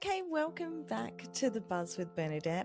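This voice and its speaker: A woman talks with an Australian accent. Music plays in the background. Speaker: podcast host. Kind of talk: podcast introduction.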